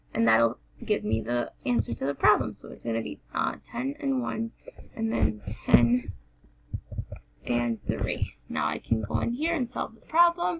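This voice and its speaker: Noticeable background noise runs under this recording. A woman speaks at a fairly slow pace. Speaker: teacher. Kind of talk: tutorial. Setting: screencast recording.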